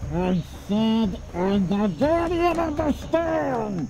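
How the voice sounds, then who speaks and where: A female-sounding put-on character voice mumbles at a very slow pace over loud background noise. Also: fairly high pitch for a woman. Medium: video game. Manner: mumbling, hard to understand.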